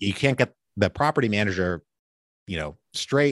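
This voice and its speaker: With an American accent and an unremarkable speaking voice, a man talks at a fairly quick pace and fairly low pitch, with ordinary pitch variation and a dry, close sound with no echo. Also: quiet background. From Pennsylvania. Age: 30s. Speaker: real estate investor and podcast host. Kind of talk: interview. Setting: video call.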